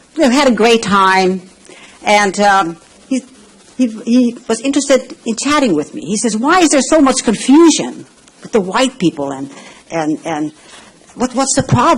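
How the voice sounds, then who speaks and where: Long, frequent pauses mark speech at a moderate pace, heard against noticeable background noise. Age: 70s. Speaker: public commenter at city council meeting. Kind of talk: public comment. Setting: city council chamber.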